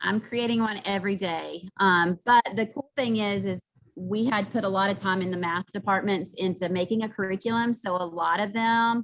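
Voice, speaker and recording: A woman talks with hardly any pauses. Her medium-pitched voice keeps a fairly even intonation. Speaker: math teacher. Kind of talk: presentation. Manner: fast.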